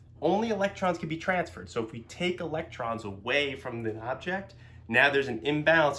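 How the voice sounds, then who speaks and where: The tone is bright and sharp, with very wide pitch swings at a fairly quick pace. Audible room echo surrounds the speech. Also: man. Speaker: physics teacher. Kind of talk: lecture. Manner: fast; filler words, um and uh.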